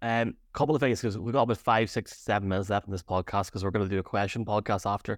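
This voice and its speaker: The recording is very clean, with a silent background and a dry, close sound with no echo. A man speaks very fast in a fairly low pitch with ordinary pitch variation. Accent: Irish. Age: 30s. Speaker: podcast co-host. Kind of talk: casual sports chat. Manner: halting, many fillers.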